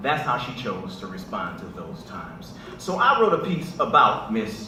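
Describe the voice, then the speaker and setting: At a moderate pace, the voice makes very wide pitch swings and big swings in loudness against noticeable background noise. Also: man, fairly high pitch for a man. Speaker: spoken word poet. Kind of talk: talk to a live audience. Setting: live event at a church.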